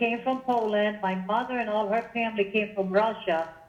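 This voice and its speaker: The speaker has a New Jersey accent, a moderate pace and ordinary pitch variation. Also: woman. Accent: sounds like New Jersey. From Israel. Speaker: political meetup group organizer. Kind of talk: radio interview. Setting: phone call. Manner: animated.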